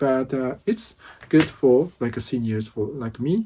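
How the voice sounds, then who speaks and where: In a very clean recording with a silent background, a man with a Japanese accent speaks at a fairly slow pace and medium pitch, his dark, mellow voice showing ordinary pitch variation. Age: 50s. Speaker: vlogger. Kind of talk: casual vlog talk. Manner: halting.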